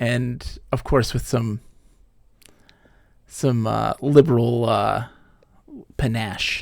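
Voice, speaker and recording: Speaking very slowly with long, frequent pauses, a man with an American accent keeps a medium pitch and a monotone, flat intonation. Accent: Midwestern US accent, mild Hollywood-style. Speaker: gaming streamer. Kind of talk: casual chat. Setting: live stream.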